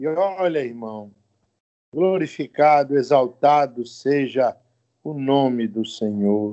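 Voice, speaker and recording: Very slow male speech with ordinary pitch variation. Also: fairly high pitch for a man. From Brazil, Minas Gerais (Rio Pomba). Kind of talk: testimony.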